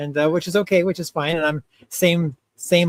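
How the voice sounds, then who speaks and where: A man with an American accent speaks in a dry, close recording with no echo. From US Midwest, Ohio. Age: 50s. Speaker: clown, entertainer. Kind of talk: casual interview chat. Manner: halting.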